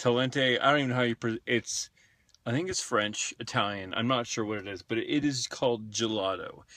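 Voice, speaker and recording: Speaking fairly quickly with an American accent, a man uses a bright, sharp tone, medium pitch and ordinary pitch variation in a dry, close sound with no echo. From California. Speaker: vlogger. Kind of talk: casual vlog monologue. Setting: in a car.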